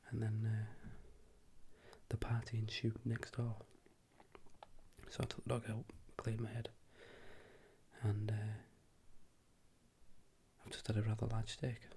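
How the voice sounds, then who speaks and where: This soft-spoken voice moves at a moderate pace, broken by long, frequent pauses. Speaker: works in a lab with chemists, night shifts. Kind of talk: ASMR soft-spoken ramble / catch-up talk to camera. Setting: indoor home recording with noisy neighbours' party in background.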